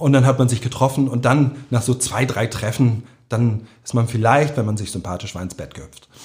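In a very clean recording with a silent background, a man speaks at a medium pitch, sounding somewhat breathy. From Hamburg, St. Pauli. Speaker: author. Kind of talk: interview. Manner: emotional.

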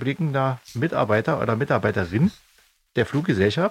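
The voice is somewhat breathy and moves at a moderate pace. Its pitch swings very widely. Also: man. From East Germany. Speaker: band member and podcast host. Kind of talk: casual chat.

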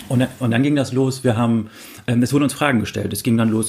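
Through noticeable background noise, a man talks at a very fast pace with fairly even intonation. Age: 30s. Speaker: online forum founder. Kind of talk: interview. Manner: hesitant, many fillers.

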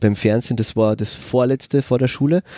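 In an Austrian accent, a man talks at a fairly quick pace with ordinary pitch variation and a dark, mellow tone. The sound is dry and close, with no echo. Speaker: special education teacher. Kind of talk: casual chat. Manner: halting.

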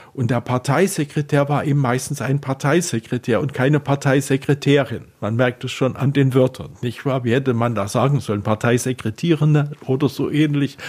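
The voice is somewhat breathy and runs on with hardly any pauses. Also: man, medium pitch for a man, fairly even intonation, moderate pace. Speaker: futurologist and science fiction writer. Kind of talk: radio interview.

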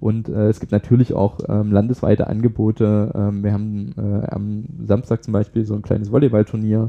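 A man talks with hardly any pauses. His intonation is monotone and flat. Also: moderate pace. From Saxony, eastern Germany (Pirna area). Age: 20s. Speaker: young politician and parliamentary candidate. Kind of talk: interview.

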